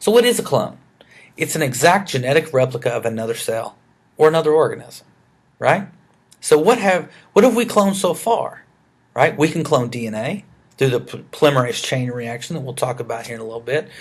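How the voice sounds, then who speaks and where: With a Southern US accent, a man speaks at a fairly high pitch, somewhat breathy, with very wide pitch swings, big swings in loudness and long, frequent pauses. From US South, rural Arkansas. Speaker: biology educator. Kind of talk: lecture. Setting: screencast recording. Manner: hesitant, many fillers.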